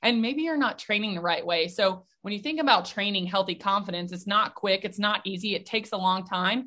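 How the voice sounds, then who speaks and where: A woman with an American accent speaks at a fairly quick pace with hardly any pauses. Her medium-pitched voice has a bright, sharp tone and ordinary pitch variation. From US South, Nashville, Tennessee. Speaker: mental performance coach. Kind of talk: interview.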